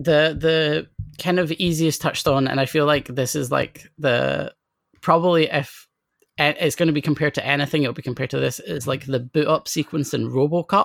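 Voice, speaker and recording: A woman with a Scottish accent talks at a fairly quick pace, her pitch very deep and low. She has vocal fry and fairly even intonation. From Scotland, near Edinburgh. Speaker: comics critic and poet. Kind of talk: casual chat.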